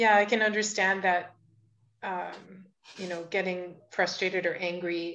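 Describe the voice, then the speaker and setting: A woman speaks at a fairly slow pace in a fairly low pitch, her intonation monotone and flat. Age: 50s. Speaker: podcast host. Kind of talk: casual interview conversation.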